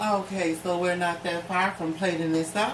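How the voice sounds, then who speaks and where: A woman speaks in a playful tone at a fairly slow pace, her pitch fairly low and her intonation flat and monotone. Noticeable background noise runs behind her. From Richmond, Virginia. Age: 20s. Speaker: entrepreneur, YouTuber. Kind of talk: casual cooking talk to camera. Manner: playful, profane.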